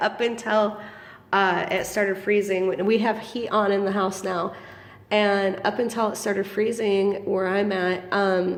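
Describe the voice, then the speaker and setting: A woman's medium-pitched, monotone, flat delivery at a fairly slow pace, with audible room echo. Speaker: small business owner selling feeder insects. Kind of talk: casual vlog. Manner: hesitant, many ums.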